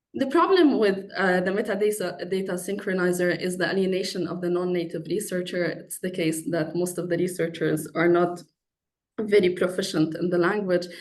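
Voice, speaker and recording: A woman with an Arabic accent speaks at medium pitch and a moderate pace, with fairly even intonation and audible room echo. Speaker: PhD researcher in philosophy. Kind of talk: conference talk.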